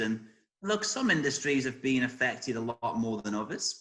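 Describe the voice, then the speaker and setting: A man with an English accent speaks at a fairly slow pace in a medium pitch. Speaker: career coach. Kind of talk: interview answers.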